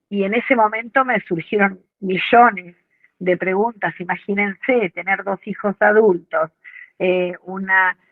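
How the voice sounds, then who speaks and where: An unremarkable speaking voice, this woman talks at a fairly slow pace and medium pitch with fairly even intonation. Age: 60s. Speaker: course participant. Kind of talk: testimony.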